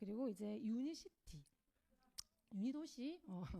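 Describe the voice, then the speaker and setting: Fairly high-pitched yet dark and mellow in tone, a woman with a Gyeongsang accent speaks at a fairly slow pace, her pitch swinging very widely. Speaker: network marketing speaker. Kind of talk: motivational talk. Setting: lecture hall with audience. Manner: hesitant, many fillers.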